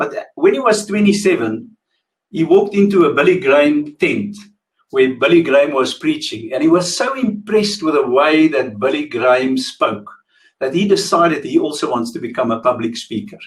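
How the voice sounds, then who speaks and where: A man's high-pitched voice at a moderate pace with very wide pitch swings. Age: 60s. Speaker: motivational speaker. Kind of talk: webinar talk. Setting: webinar with ring lights. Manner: relaxed.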